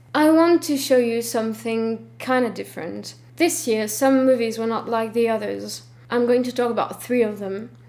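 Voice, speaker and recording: Amid noticeable background noise, a woman with a French accent talks at a moderate pace in a fairly high voice with ordinary pitch variation. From France. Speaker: film vlogger. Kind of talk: scripted vlog talk. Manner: stiff, reading from script.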